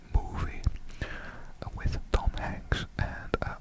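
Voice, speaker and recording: Someone whispers with a Dutch accent against noticeable background noise. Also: man. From Netherlands. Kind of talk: ASMR ramble. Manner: soft-spoken, whispered.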